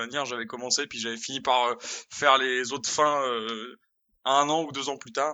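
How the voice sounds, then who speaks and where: An ordinary speaking voice at a moderate pace, fairly even in intonation, with big swings in loudness. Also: man. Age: 20s. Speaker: video game designer. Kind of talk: casual chat.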